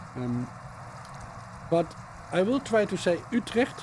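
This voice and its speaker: A man speaks with a Dutch accent. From Netherlands. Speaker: cycling vlogger. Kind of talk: voiceover commentary. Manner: halting, many fillers.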